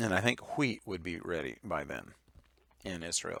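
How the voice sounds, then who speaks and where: Talking at a fairly slow pace, a man with a very deep, low pitch has a bright, sharp tone. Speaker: Bible teacher. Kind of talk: lecture. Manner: halting, many fillers.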